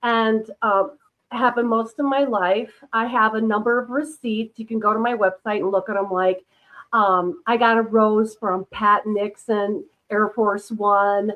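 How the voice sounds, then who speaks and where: Speaking fairly slowly, a woman with an American accent has a fairly high pitch. Her intonation stays fairly even. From Minnesota, US Midwest. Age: 60s. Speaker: UFO experiencer and author. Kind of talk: casual interview chat. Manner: hesitant, many fillers.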